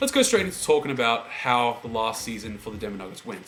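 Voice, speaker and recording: A man talks fairly quickly at a medium pitch, with noticeable background noise present. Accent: Australian. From Australia, Melbourne. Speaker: sports fan vlogger. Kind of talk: casual monologue.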